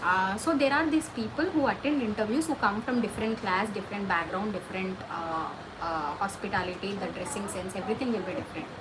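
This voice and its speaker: A woman talks at a fairly quick pace and medium pitch with lively intonation, amid audible room echo and noticeable background noise. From India. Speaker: livestream host giving career advice. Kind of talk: casual livestream chat answering viewer questions. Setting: livestream.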